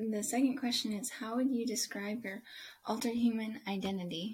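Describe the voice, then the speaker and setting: A woman speaks in a fairly high, somewhat breathy voice with fairly even intonation. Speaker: podcast host interviewer. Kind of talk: casual interview.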